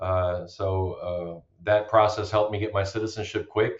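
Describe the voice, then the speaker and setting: A man speaks with a fairly low pitch in a somewhat breathy voice. His delivery is fairly slow, with monotone, flat intonation. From Germany, Romanian parents. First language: German and Romanian. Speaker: bitcoin miner, army veteran. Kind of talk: podcast interview.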